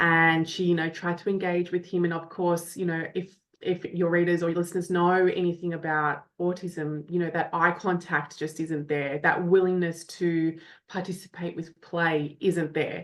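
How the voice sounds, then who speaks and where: A woman with an Australian accent at a moderate pace, monotone and flat in intonation, with hardly any pauses. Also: fairly low pitch for a woman, quiet background. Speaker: parent coach. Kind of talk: podcast interview.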